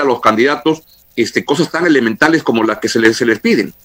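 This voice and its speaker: A man's voice over noticeable background noise. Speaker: radio host. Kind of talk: radio interview. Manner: halting, repeats words.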